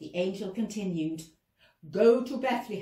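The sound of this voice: An unforced reading voice over a quiet background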